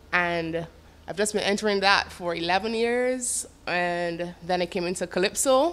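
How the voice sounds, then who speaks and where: Speaking with a Bajan accent, a woman talks at a fairly slow pace with a medium pitch and ordinary pitch variation. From Barbados. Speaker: calypso singer and songwriter. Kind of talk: interview.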